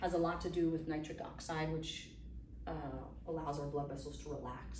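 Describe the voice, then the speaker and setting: Noticeable background noise and audible room echo fill the recording. Through it, a woman talks at a fairly quick pace. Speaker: physician giving a health talk. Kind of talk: lecture to a live audience. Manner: fast.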